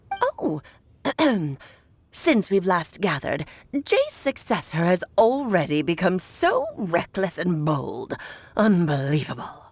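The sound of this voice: A woman's put-on character voice at medium pitch, broken by long, frequent pauses. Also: fairly slow pace.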